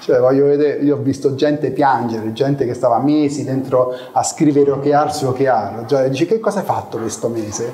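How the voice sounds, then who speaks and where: At a medium speed, a man talks with a fairly high pitch. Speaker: product executive giving a talk. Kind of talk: conference talk, casual and joking. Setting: live meetup with audience. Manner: informal, humorous, with hesitations.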